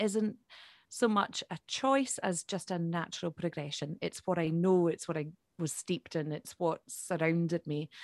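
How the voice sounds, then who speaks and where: In a Highland Scottish accent, a woman speaks at a fairly low pitch with ordinary pitch variation, the sound dry and close with no echo against a quiet background. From Scotland, Isle of Skye. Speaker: Gaelic singer-songwriter. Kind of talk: interview.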